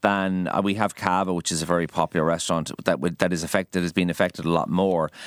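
A man with an Irish accent speaks in a very deep, low voice, recorded dry and close with no echo and very clean against a silent background. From Ireland, Kildare. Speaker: chef. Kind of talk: radio interview. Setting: radio studio.

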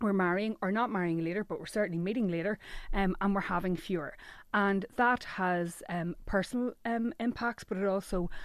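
In an Irish accent, a woman speaks at a medium pitch over a quiet background. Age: 40s. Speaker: journalist. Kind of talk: radio interview.

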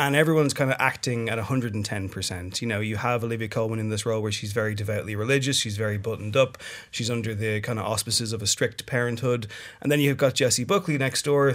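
A man with an Irish accent, medium in pitch, with ordinary pitch variation at a very fast pace. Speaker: film critic. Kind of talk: studio discussion. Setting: studio.

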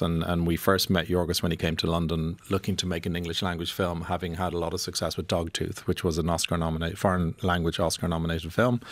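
A man speaks in an Irish accent at a very fast pace. His pitch is very deep and low. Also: very clean recording, silent background. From Ireland. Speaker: film producer. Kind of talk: radio interview. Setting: radio studio.

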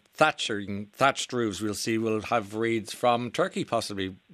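Here a man speaks with an Irish accent. The recording is very clean, the background silent. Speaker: radio host. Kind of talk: casual chat. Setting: studio. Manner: animated.

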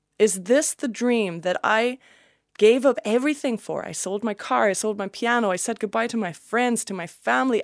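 A woman speaks at a moderate pace with a fairly high pitch. The recording is very clean with a silent background, and the sound is dry and close with no echo. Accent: German. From Germany. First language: German. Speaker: country singer. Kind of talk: casual chat.

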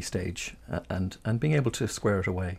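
A man speaks at a moderate pace with fairly low pitch, lively intonation and a somewhat breathy quality. The recording is very clean, with a silent background. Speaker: radio host, interviewer. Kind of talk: radio interview.

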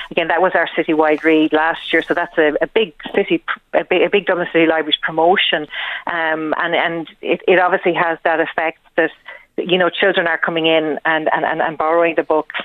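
A woman's fairly low, flat monotone in an Irish accent, at a fairly quick pace with very even loudness. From Wexford, Ireland. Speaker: librarian. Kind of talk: radio interview. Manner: halting.

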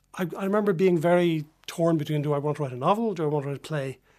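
A man with a Dublin accent at very fast pace, fairly high pitch and ordinary pitch variation, on a very clean recording with a silent background. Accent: Dublin Irish. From Dublin, Ireland (Drumcondra). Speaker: novelist. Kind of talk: radio interview. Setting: radio studio. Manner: hesitant, with many ums and restarts.

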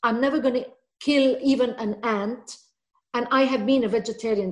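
Her voice is somewhat breathy and fairly high for a woman. She moves at a moderate pace. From Lebanon. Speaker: children's author. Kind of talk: interview. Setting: video call.

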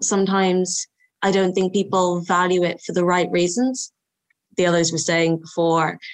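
Fairly even intonation marks this woman's speech, pitched fairly low and delivered in a west Cork Irish accent. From rural west Cork, Ireland. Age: 20s. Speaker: youth council member. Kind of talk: panel discussion.

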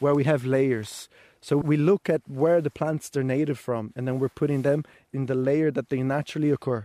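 A man with a Portuguese accent and a fairly high pitch, dark and mellow in tone, at a moderate pace with fairly even intonation, the sound dry and close with no echo on a very clean recording with a silent background. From Brazil. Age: young. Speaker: farmer. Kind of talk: farm tour explanation.

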